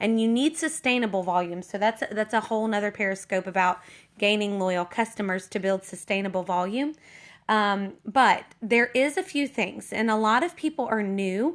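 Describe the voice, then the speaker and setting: Speaking at a moderate pace, a woman with a fairly high pitch and ordinary pitch variation is heard in a very clean recording with a silent background. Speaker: network marketing team leader. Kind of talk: casual livestream tips talk. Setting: Periscope livestream. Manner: hesitant, many fillers.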